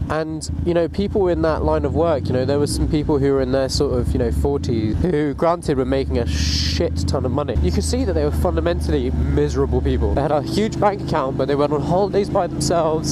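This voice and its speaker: Speaking at a very fast pace, a man talks with a British accent. Audible room echo and noticeable background noise fill the recording. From grew up in Africa, moved to UK at 14. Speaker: motorcycle vlogger. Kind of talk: casual monologue. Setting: riding motorcycle outdoors in rain.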